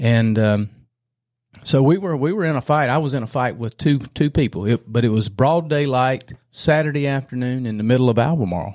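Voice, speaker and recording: With a North Carolina accent, a man talks at a fairly quick pace in a medium pitch, with ordinary pitch variation. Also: very clean recording, silent background. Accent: Southern US (North Carolina). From North Carolina, Gaston County. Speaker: retired state trooper, political candidate. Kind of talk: casual chat interview.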